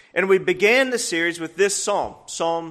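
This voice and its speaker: A man's high-pitched voice, bright and sharp in tone, with ordinary pitch variation at a moderate pace. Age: 30s. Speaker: guest preacher. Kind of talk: sermon.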